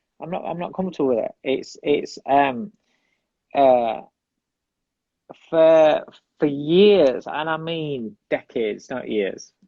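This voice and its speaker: A man talks at a very slow pace with long, frequent pauses, a fairly high pitch, and ordinary pitch variation. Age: 40s. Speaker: boxing coach. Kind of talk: interview. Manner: halting.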